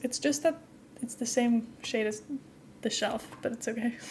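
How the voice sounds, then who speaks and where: A woman talks at a very fast pace with fairly even intonation. Noticeable background noise can be heard. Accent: Dutch. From Netherlands. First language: Dutch. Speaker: streamer. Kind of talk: casual gameplay live stream chat. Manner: chatty, rambling with fillers.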